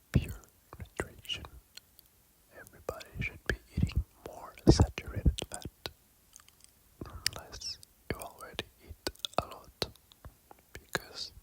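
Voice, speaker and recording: A man whispers at a fairly slow pace with long, frequent pauses and big swings in loudness. The sound is dry and close with no echo, with noticeable background noise. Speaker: ASMR eating creator. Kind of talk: casual talk to camera. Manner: whispered.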